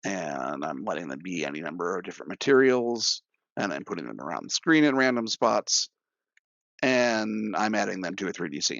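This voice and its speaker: This man's pitch is very deep and low, with vocal fry and very wide swings. His tone is animated and his pace moderate. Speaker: software developer presenting at user group. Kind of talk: technical demo presentation. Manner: casual, animated.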